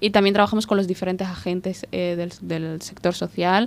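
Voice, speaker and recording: A woman speaks at a moderate pace. The recording is very clean with a silent background. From Somalia, grew up in Spain. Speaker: refugee rights advocate. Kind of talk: interview.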